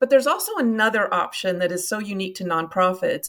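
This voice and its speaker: A woman in a Kentucky accent with lively intonation. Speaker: nonprofit marketing consultant. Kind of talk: podcast interview.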